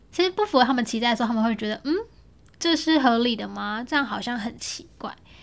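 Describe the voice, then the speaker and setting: A woman with a fairly high voice speaks very fast, her pitch rising and falling in a normal way. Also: very clean recording, silent background. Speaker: podcast host. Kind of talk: solo podcast monologue, unscripted. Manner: casual, conversational.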